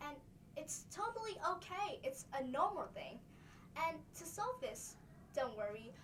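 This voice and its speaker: Very wide pitch swings and an extremely high pitch define this woman's voice at a fairly slow pace. Long, frequent pauses break her speech, and the room echo is audible. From Vietnam. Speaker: student presenter. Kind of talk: class presentation. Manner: halting.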